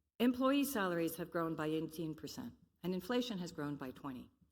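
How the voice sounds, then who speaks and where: Against audible room echo, a woman with an American accent speaks with very wide pitch swings. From Belgium. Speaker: conference speaker on sustainable development. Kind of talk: conference presentation.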